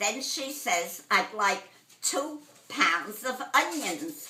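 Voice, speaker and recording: Speaking with a Brooklyn accent at a very slow pace, the voice has lively intonation amid noticeable background noise. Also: woman. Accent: old-school New York (Brooklyn). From Brooklyn, New York, USA. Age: 80s+. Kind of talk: telling a joke.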